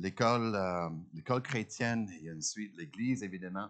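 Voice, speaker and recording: A man's fairly low voice with lively intonation over a quiet background. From Ontario, Canada. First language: English (speaking French). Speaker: guest preacher. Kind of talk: sermon. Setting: church. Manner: halting, many hesitations.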